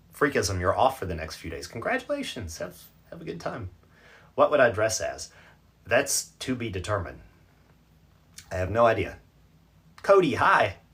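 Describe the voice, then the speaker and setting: A man speaks at a moderate pace with long, frequent pauses. His loudness rises and falls sharply. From North Carolina, US South. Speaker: livestream reader and host. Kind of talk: casual livestream chat reading viewer comments. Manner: chatty, conversational.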